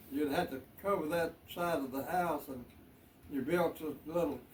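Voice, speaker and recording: At a moderate pace, a man with a Southern US accent talks in a fairly high pitch with ordinary pitch variation over noticeable background noise. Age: 80s+. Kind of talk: interview answer.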